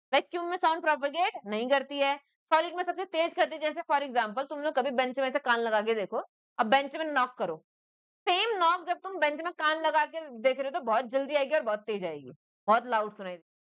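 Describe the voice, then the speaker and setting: Lively and high-pitched, a woman talks at a moderate pace with big swings in loudness, in a dry, close sound with no echo. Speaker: school teacher. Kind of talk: classroom lecture. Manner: conversational, checks understanding often.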